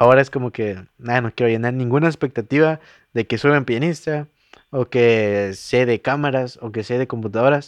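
Against a quiet background, a man speaks at a moderate pace. His pitch is medium, with ordinary variation. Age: 20s. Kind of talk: casual chat. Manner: halting.

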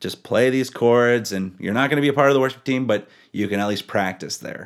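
A man's plain, everyday voice, fairly low in pitch with ordinary variation, in a very clean recording against a silent background. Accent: Canadian. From British Columbia, Powell River. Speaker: worship musician. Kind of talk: casual interview chat.

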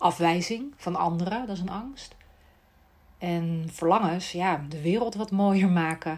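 A woman speaks fairly slowly in an unremarkable speaking voice. Her pitch is fairly low with ordinary pitch variation. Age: 40s. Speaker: speech therapist and podcast host. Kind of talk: solo monologue podcast.

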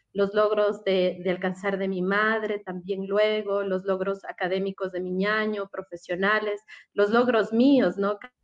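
The woman's voice sits at a medium pitch, with monotone, flat intonation. She talks at a fairly slow pace with hardly any pauses. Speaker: communications professional. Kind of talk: radio interview.

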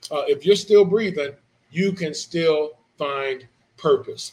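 Fairly high pitch for a man, ordinary pitch variation, an ordinary speaking voice. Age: 40s. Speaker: pastor. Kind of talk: sermon.

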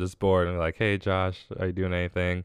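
The speaker has an American accent, and the background is quiet. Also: man. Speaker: podcast host. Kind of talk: casual solo monologue giving thanks. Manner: monotone.

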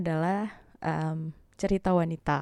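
Her tone is dark and mellow. This woman's delivery stays monotone and flat. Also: very clean recording, silent background. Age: 20s. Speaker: podcast host and university lecturer. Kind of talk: casual monologue.

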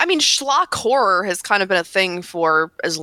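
Dry and close with no echo, a woman's bright, sharp tone carries vocal fry at a moderate pace. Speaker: games journalist. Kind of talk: casual chat. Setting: video call. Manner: a little stiff.

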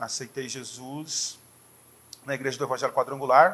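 A man speaks at a fairly high pitch. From Brazil, interior of São Paulo state. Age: 40s. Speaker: pastor. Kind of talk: casual chat.

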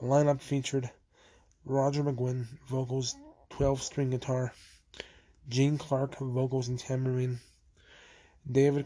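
The voice has a somewhat breathy quality. Its pace is fairly slow. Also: man. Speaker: podcast host. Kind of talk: solo history podcast narration. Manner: halting, many fillers.

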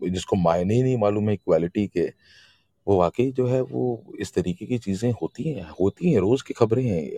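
A man's fairly low, dark and mellow voice with lively intonation, dry and close with no echo. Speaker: poetry gathering host. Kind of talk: casual chat. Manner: animated. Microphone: voice cutting out.

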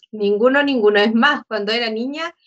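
A woman speaks at a moderate pace and a fairly high pitch with ordinary pitch variation and an ordinary speaking voice. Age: 40s. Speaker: church member. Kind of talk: casual chat.

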